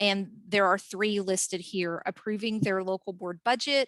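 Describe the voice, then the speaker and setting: At a fairly quick pace, a woman with an unremarkable speaking voice talks at a medium pitch with fairly even intonation, in a dry, close sound with no echo and a very clean recording with a silent background. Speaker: workforce training presenter. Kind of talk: training presentation.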